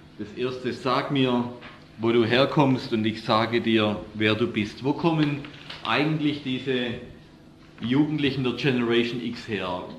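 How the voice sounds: The delivery is fairly slow, with ordinary pitch variation. Audible room echo surrounds the voice. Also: man, medium pitch for a man.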